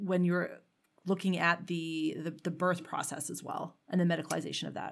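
In a Canadian accent, a woman with a normal speaking voice talks at a medium pitch and moderate pace on a very clean recording with a silent background. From Canada. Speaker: podcast host. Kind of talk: interview.

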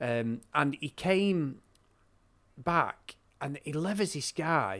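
Pitch swings very widely as a man with a fairly high voice speaks with a northern English accent. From northern England. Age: 40s. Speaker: wrestling podcaster. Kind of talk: casual chat. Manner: animated.

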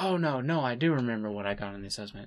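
Using a normal speaking voice, a man speaks at a fairly quick pace and a medium pitch. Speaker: podcast co-host who edits the show. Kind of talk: casual chat.

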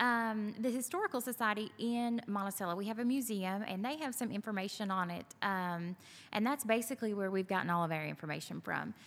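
A woman with a Southern US accent talks at a fairly quick pace with hardly any pauses, her fairly high voice showing ordinary pitch variation on a very clean recording with a silent background. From Kentucky. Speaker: venue owner. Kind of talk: casual interview. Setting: on location at venue.

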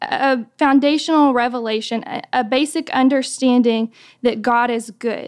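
A woman speaks with an American accent at a fairly slow pace, using a high pitch and fairly even intonation. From US South. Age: 20s. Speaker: speaker at a women's ministry. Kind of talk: devotional talk. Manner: hesitant with frequent fillers.

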